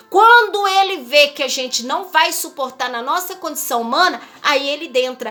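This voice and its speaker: A woman speaks in a raised, projected voice at a moderate pace, her high pitch making very wide swings. Noticeable background noise is present. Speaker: missionary preacher. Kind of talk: sermon. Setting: livestream.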